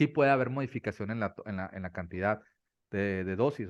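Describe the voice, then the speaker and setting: The background stays quiet. A man talks, and his pitch varies in an ordinary way. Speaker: doctor specializing in ADHD. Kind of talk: interview on ADHD treatment. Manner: fast.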